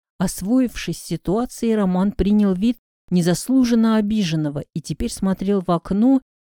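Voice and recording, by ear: The pitch varies in an ordinary way while reading aloud in a natural voice. Behind it, the background stays quiet.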